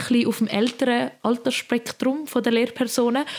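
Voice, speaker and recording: A woman with a Swiss German accent speaks in a fairly high voice at a moderate pace. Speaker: podcast co-host, apprentice. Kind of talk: casual chat. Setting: recording from home bedroom.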